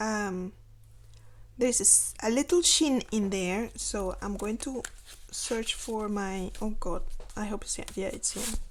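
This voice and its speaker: A woman mumbles at a fairly slow pace. Her pitch is fairly high, with ordinary variation. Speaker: planner vlogger. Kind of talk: casual narration while decorating planner. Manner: mumbling; halting.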